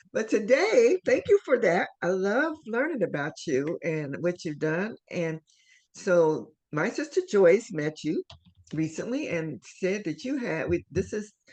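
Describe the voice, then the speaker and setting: A woman speaks at a medium pitch, her voice swinging very widely up and down. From Ohio, US Midwest. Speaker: show host. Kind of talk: interview.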